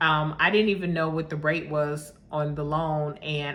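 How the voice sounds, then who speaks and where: A bright, sharp tone with audible room echo. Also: woman. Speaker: vlogger buying property abroad. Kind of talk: casual vlog monologue. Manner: fast.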